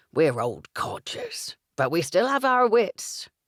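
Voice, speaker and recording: A put-on character voice swings very widely in pitch at a fairly slow pace on a very clean recording with a silent background. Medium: read story. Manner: teasing, blunt.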